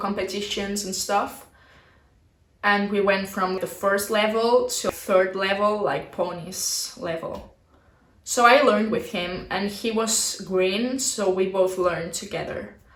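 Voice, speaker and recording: Noticeable background noise surrounds a speaker with a Spanish accent. The pace is fairly slow and the intonation fairly even. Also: woman. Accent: non-native English, Spanish. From Barcelona, Spain. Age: 20s. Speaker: dressage rider. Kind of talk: casual talk to camera.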